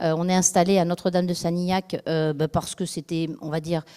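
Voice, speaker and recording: A woman talks at a fairly quick pace with a fairly low pitch and a dark, mellow tone. Her pitch variation is ordinary, and the sound is dry and close with no echo. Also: very clean recording, silent background. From France, Dordogne (from age 13). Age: 50s. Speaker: local election candidate. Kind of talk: campaign speech. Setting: public meeting. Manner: halting, many fillers.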